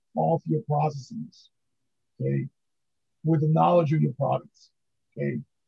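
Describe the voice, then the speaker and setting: A man's voice, dry and close with no echo. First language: not English. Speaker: book author, pharmaceutical validation expert. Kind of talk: podcast interview. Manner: halting, many fillers.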